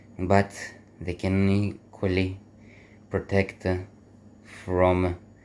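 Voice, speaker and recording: In a very clean recording with a silent background, a man with a non-native accent speaks at a very deep, low pitch, leaving long, frequent pauses. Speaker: airsoft hobbyist. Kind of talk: gear showcase talk to camera.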